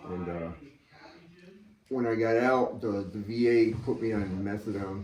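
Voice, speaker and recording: A man with an American accent, with noticeable background noise and audible room echo. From Massachusetts. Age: 60s. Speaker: military veteran in recovery. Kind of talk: interview testimony. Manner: halting, many fillers.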